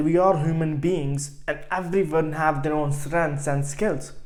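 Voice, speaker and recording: With an Indian accent, a man speaks at a moderate pace and a fairly high pitch. His intonation is monotone and flat, and room echo is audible. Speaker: online business coach. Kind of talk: motivational vlog. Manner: halting, frequent repetitions.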